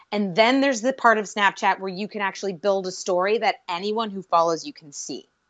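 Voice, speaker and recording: Speaking fast with hardly any pauses, a woman with an American accent uses an ordinary speaking voice at medium pitch with ordinary pitch variation. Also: big swings in loudness. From Pittsburgh, Pennsylvania, US. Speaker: podcast host and social media guest. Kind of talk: casual interview.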